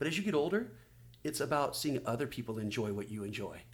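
Very fast speech in a room with audible echo. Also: man. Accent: Southern California. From Oceanside, California, US. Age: 40s. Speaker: magazine publisher and former pro surfer. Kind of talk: casual interview chat.

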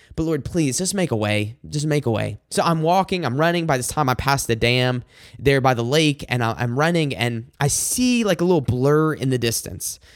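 Mumbling with hardly any pauses, a man with an American accent and a fairly high pitch talks at a moderate pace with lively intonation, in a very clean recording with a silent background. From Michigan, US. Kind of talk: devotional monologue with prayer. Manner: halting, fillers, self-described mumbling.

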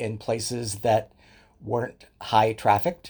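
On a very clean recording with a silent background, a man speaks at a very slow pace. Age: 60s. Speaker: leather community educator and writer. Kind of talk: casual interview chat.

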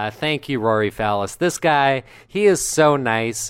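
A medium-pitched male voice at a very slow pace with very wide pitch swings, on a very clean recording with a silent background. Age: 20s. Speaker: podcast co-host, actor and comedian. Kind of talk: casual chat; reading aloud.

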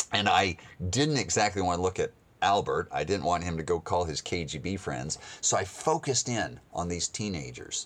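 With an American accent, a man talks at a moderate pace in a very deep, low pitch with vocal fry. His pitch swings very widely. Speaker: missionary radio speaker. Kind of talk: sermon-style storytelling with a gospel message.

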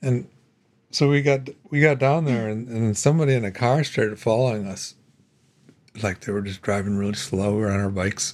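An American accent at a fairly quick pace, with ordinary pitch variation and long, frequent pauses. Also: man, medium pitch for a man. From US Midwest (Ohio). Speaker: podcast host. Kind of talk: casual chat.

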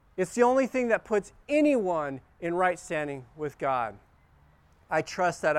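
A man with a normal speaking voice talks at a fairly slow pace, his intonation lively. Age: 50s. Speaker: pastor. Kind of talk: sermon.

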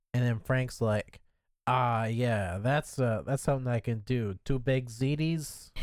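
A man talks at a fairly slow pace in a plain, everyday voice. The recording is very clean with a silent background. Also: medium pitch for a man, ordinary pitch variation, very even loudness. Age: 20s. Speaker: podcast co-host. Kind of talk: casual chat.

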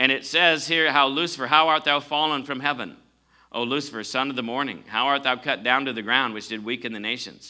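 A man at a medium pitch with a bright, sharp tone, ordinary pitch variation and a fairly quick pace, in a very clean recording with a silent background. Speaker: preacher. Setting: church with congregation. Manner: animated, emphatic, rising intensity; call-and-response, asking congregation for amens.

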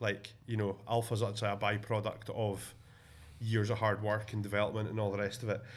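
Speaking with a Scottish accent, a man keeps a fairly low pitch, a fairly quick pace, monotone, flat intonation, a somewhat breathy sound and very even loudness. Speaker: podcast host. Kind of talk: casual chat. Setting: office, visiting abroad.

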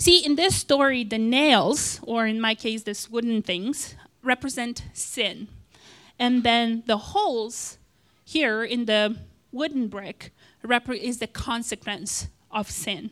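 Very slowly, a woman talks at a fairly high pitch with ordinary pitch variation, on a very clean recording with a silent background. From Moldova. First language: not English (Moldovan/Russian). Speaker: lay preacher. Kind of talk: short sermon.

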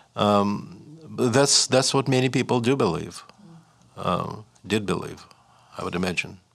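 Long, frequent pauses break up the speech of a man with a medium pitch and ordinary pitch variation, in a Russian accent. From Russia (Leningrad / Saint Petersburg). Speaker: writer and professor. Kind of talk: interview. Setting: studio. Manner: halting, with frequent repetitions and fillers.

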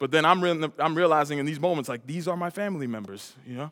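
With an American accent, a man speaks in an animated tone. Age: 30s. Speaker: traveling preacher. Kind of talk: sermon. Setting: church with audience.

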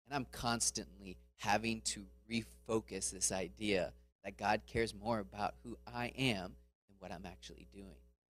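At a moderate pace, a man with an American accent and a fairly low pitch uses very wide pitch swings, vocal fry and big swings in loudness. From Florida, US. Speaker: missionary speaker. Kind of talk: sermon. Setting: church.

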